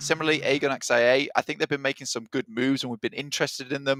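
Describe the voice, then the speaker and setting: The sound is dry and close with no echo as a man speaks very fast at a medium pitch. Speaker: esports caster. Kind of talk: live commentary.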